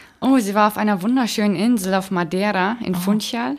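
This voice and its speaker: This woman has a normal speaking voice at medium pitch. Her intonation is fairly even and her pace fairly quick. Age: 20s. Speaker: Paralympic swimmer. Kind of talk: interview.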